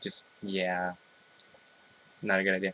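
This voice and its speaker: A man's bright, sharp tone comes through dry and close, with no echo. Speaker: parent vlogger. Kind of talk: casual vlog.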